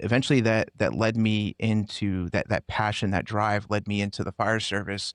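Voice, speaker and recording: Fairly low-pitched male voice with fairly even intonation, dry and close with no echo, on a very clean recording against a silent background. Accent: American. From US Northeast, Connecticut. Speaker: former police officer and firefighter. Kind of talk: interview. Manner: halting, many fillers.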